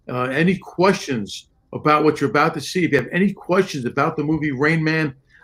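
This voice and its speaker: Moving at a fairly quick pace, a man with a fairly high pitch talks with ordinary pitch variation. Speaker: game protection consultant and live show host. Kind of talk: live online show chat; card trick demonstration. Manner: fast.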